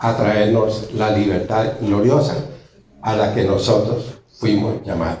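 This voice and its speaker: This man talks very slowly, with audible room echo and noticeable background noise around him. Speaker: preacher. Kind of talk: sermon.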